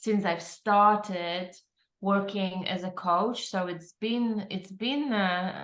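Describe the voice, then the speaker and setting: A woman talks at a very slow pace with a Polish accent. Her intonation stays fairly even. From Poland. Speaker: transformative coach. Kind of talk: interview chat.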